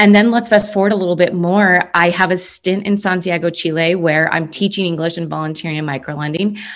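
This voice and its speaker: A woman with an American accent speaks in an ordinary speaking voice, fairly low in pitch. Her pace is fairly quick with hardly any pauses and fairly even intonation. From US Midwest. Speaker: former customer success executive. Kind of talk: casual interview conversation.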